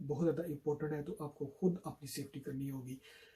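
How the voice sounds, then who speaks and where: A man with a Pakistani accent talks at a moderate pace and a fairly high pitch, with fairly even intonation. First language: Urdu. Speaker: YouTuber. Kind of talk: public health appeal in Urdu to camera.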